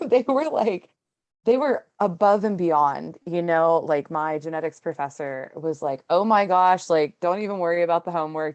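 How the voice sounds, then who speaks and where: Here a woman with a fairly low pitch and an American accent uses a plain, everyday voice, moving at a moderate pace with lively intonation. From Pittsburgh, Pennsylvania. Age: 20s. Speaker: student, single mother. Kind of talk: podcast interview answer. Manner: casual, chatty.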